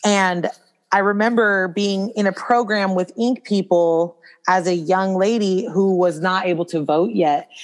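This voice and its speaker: Against a quiet background, a woman with an American accent talks at a fairly slow pace with a normal speaking voice, medium pitch, ordinary pitch variation and very even loudness. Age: 30s. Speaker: brow bar owner and wellness coach. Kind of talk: casual interview.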